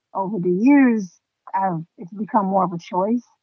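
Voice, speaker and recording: Here is a woman with a plain, everyday voice at a medium pitch. Her pace is moderate and her pitch variation ordinary. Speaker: podcast host. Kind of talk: casual interview chat.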